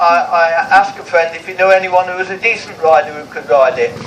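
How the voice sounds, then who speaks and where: A man with an English accent speaks at a moderate pace in a high voice, with noticeable background noise. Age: 70s. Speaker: vintage motorcycle racer. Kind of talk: interview. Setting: outdoors. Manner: animated.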